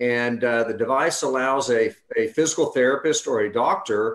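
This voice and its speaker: A man with an ordinary speaking voice talks at medium pitch. His pace is fairly slow, and the background is quiet. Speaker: medical technology CEO. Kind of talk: webinar presentation. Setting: video call. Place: home room. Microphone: video call.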